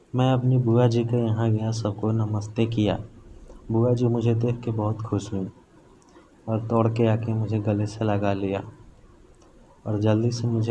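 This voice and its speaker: Medium pitch and flat, monotone intonation from a man. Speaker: horror story narrator. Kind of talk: first-person horror story narration.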